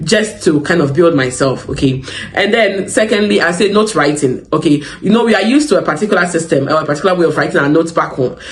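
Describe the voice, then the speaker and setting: Over noticeable background noise and audible room echo, a man speaks very fast with hardly any pauses, his high voice lively in intonation and very even in loudness. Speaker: psychiatric nurse and advice channel host. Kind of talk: advice talk to camera. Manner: conversational, frequent fillers.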